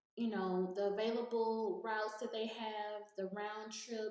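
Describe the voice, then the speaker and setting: A woman's voice sits at a fairly high pitch, with monotone, flat intonation. Audible room echo surrounds it. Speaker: YouTuber giving gig work tips. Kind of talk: screen-share tutorial. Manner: casual, hesitant with many fillers.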